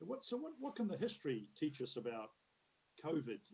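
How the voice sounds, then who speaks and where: A man with a New Zealand accent speaks at a fairly quick pace in a dark, mellow tone with ordinary pitch variation. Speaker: conference keynote speaker, future-of-work expert. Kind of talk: conference keynote talk. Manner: conversational, many fillers and repetitions.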